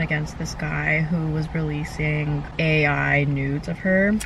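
A woman speaks with fairly even intonation. The sound is dry with no echo, and there is noticeable background noise. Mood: indignant, critical. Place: car.

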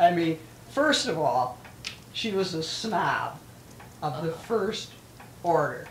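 A woman talks at a fairly low pitch and a very slow pace, with long, frequent pauses. Her intonation is lively over noticeable background noise. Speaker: elderly local resident interviewed for oral history. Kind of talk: oral history interview.

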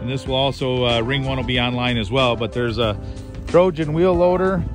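A man's lively, fairly quick speech in a dry sound with no echo, with clear music in the background. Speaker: auction manager. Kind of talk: auction preview walkthrough, casual talk to camera. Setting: outdoors at an auction site. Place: open country. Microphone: phone near.

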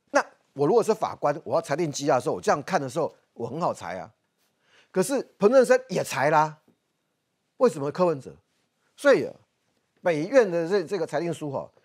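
A man speaks fairly quickly in a high voice, with very wide pitch swings and big swings in loudness. Long pauses come often, and the background is quiet. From Taiwan. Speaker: political commentator. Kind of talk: TV political talk show discussion. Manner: animated. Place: studio.

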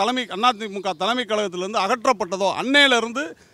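This man's voice is high-pitched with a bright, sharp tone and ordinary pitch variation. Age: 60s. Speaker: party supporter. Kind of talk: interview.

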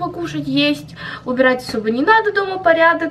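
The delivery comes at a moderate pace with lively intonation. Light background noise can be heard. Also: woman. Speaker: vlogger. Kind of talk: casual vlog chat. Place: home room. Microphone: phone near.

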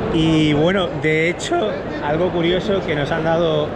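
There is loud background noise in this clip. A man speaks at a very slow pace. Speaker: vlogger. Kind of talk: casual vlog chat. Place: hall. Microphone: phone near.

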